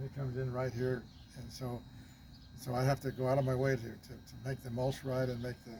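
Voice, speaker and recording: Very fast and somewhat breathy, a man speaks at medium pitch with a dark, mellow tone. His intonation is monotone and flat. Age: 80s+. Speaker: retired grandparent sharing gardening tips. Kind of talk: casual chat.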